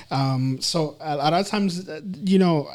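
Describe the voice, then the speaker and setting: A man's fairly high voice with a Spanish accent. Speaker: counselor and psychology instructor. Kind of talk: interview conversation. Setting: podcast. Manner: halting, many fillers and repetitions.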